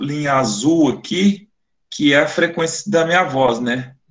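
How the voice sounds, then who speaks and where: A man with a fairly high voice speaks very slowly. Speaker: phonetics professor, webinar speaker. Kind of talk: lecture. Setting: online webinar.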